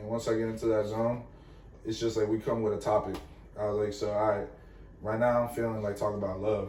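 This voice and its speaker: A man with a dark, mellow, somewhat breathy voice speaks at a very fast pace in a flat monotone. He takes long, frequent pauses, and there is audible room echo. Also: fairly low pitch for a man. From Venezuela, raised in Florida. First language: Spanish. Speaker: musician, rapper. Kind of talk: casual chat.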